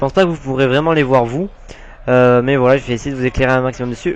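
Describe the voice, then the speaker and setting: The man's medium-pitched voice keeps a fairly even intonation. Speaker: gaming YouTuber. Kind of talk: gameplay commentary. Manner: fast; hesitant, many fillers.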